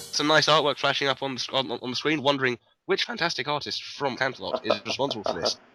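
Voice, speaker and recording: A man's fairly high, bright, sharp voice with a British accent, very fast with ordinary pitch variation, on a very clean recording with a silent background. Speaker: podcast host. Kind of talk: casual chat.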